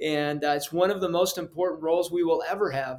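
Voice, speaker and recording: A man talks with an American accent in a normal speaking voice. He is fairly quick and fairly high-pitched, with fairly even intonation. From Mexico, then Colorado. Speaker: parenting expert and psychologist. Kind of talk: interview.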